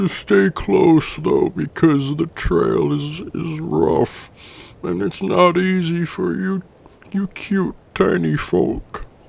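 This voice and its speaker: Speaking very slowly, a man performs a put-on character voice. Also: fairly high pitch for a man. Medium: actual play. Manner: slow, simple, good-natured.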